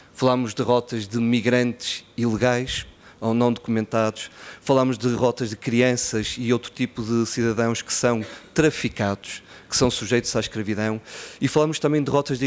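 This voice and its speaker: This man talks at a moderate pace. The intonation he uses is fairly even. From Portugal, Porto (born in Guinea-Bissau); Portugal. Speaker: NGO executive director. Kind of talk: conference speech. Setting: conference stage with audience. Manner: relaxed, smiling delivery. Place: hall. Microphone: podium.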